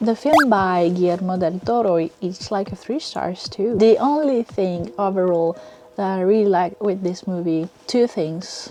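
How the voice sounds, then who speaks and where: With music in the background, a woman in a French accent speaks fairly slowly at a medium pitch, her intonation lively. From France. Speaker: book and film reviewer. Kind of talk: casual vlog review.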